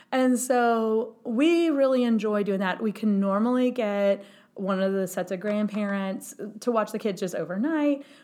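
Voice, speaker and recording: With a dark, mellow tone, a woman speaks at a fairly high pitch and a moderate pace, using ordinary pitch variation. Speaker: podcast co-host. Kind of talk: casual chat.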